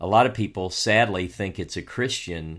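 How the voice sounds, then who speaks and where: A Southern US accent at a moderate pace with ordinary pitch variation, on a very clean recording with a silent background. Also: man. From US South. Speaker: co-host and author on biblical texts. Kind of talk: casual chat about scripture.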